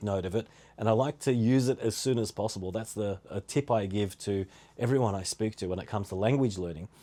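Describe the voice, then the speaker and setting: Talking at a very fast pace, a man with an Australian accent has a medium pitch and ordinary pitch variation. His tone is dark and mellow. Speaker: podcast host. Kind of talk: casual solo podcast talk.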